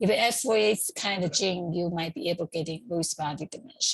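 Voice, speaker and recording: A woman with a Chinese accent speaks at medium pitch and a moderate pace, somewhat breathy, with ordinary pitch variation. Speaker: community group organizer. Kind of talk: informal talk. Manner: halting, with many fillers.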